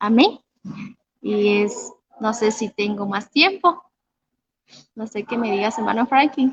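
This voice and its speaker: Somewhat breathy, a woman speaks at a fairly high pitch with ordinary pitch variation. Her pace is very slow, with long, frequent pauses. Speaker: youth preacher. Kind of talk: sermon. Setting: online livestream.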